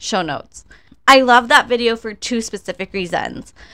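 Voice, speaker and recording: Normal pitch movement and a middling speed from a woman with a plain, everyday voice. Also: very clean recording, silent background. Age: 30s. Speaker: podcast host. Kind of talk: solo commentary podcast.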